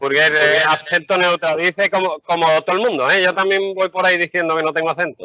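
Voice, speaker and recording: A man talks fairly quickly in an Andalusian accent with hardly any pauses. His pitch is high. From Andalusia, Seville. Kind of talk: casual chat. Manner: animated.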